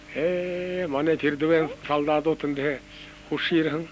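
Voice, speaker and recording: A man speaks in a fairly high pitch for a man, his intonation flat and monotone. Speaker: war veteran. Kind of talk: reminiscence.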